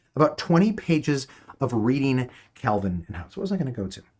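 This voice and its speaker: Very wide pitch swings mark this man's somewhat breathy, medium-pitched voice. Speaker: teacher. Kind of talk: online class. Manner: halting.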